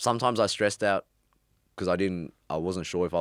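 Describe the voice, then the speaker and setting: The man's speech comes very fast. The sound is dry and close, with no echo. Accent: Australian. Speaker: former drug dealer. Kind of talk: interview. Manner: casual, hesitant.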